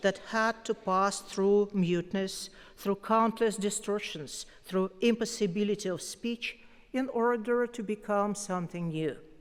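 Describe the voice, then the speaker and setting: The speaker has a Russian accent and ordinary pitch variation. The pace is fairly slow. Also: woman. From Russia, Moscow. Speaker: poet, award winner. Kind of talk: acceptance speech. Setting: concert hall stage with audience.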